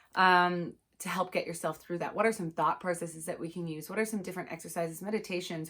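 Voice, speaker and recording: This woman has an unremarkable speaking voice, pitched in the middle range, with ordinary pitch variation. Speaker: anxiety coach. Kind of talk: online course talk. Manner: casual, with many fillers.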